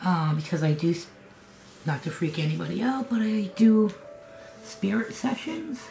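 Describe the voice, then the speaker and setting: With an American accent, a woman speaks at a fairly slow pace with lively intonation while music plays in the background. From New England, US. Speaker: craft vlogger. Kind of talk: casual vlog. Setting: home kitchen studio. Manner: conversational, rambling with fillers.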